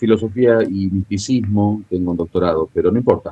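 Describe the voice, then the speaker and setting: The pace of this man's speech is moderate. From Argentina. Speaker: international analyst and theologian. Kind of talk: interview.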